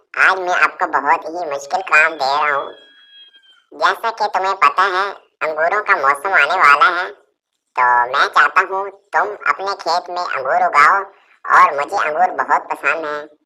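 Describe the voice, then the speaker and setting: The clip features a cartoonish character voice moving at a moderate pace. Its pitch sits in the middle range. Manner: imperious.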